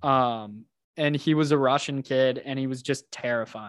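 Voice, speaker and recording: A man with an American accent and an ordinary speaking voice talks at a moderate pace and medium pitch. The recording is very clean, with a silent background. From Texas, Houston. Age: 20s. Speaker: entrepreneur. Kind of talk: casual chat.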